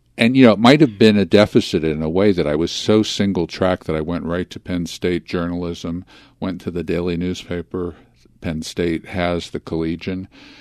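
At a moderate pace, a man with a very deep, low pitch and ordinary pitch variation speaks in a dry, close sound with no echo over a quiet background. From US, Philadelphia. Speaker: film critic. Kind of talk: interview.

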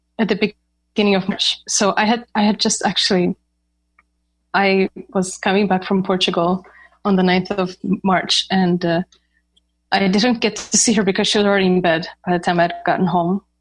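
With very even loudness, a woman speaks in a monotone, flat intonation, leaving long, frequent pauses. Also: medium pitch for a woman, moderate pace. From Ukraine. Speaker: professional cellist. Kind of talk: interview conversation.

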